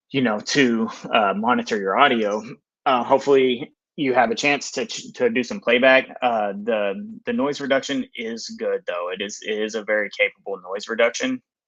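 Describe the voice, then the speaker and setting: A man talks at a moderate pace. He has a Texas accent. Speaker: filmmaker. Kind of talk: live stream product review. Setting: live stream. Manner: hesitant, many fillers; casual.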